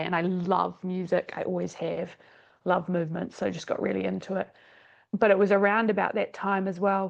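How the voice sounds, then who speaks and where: A woman with a New Zealand accent talks at a moderate pace. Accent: New Zealand, persisting. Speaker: exercise scientist and dance teacher. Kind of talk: podcast interview.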